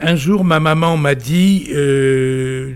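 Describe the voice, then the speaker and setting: A man talks at a fairly high pitch with ordinary pitch variation. Noticeable background noise runs underneath. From Vézelay, Burgundy, France. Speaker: playwright and novelist. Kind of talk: interview. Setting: book fair.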